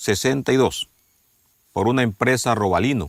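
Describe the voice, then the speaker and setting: A man speaks with a dry, close sound and no echo. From Ecuador. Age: 60s. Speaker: farmer. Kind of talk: documentary interview testimony.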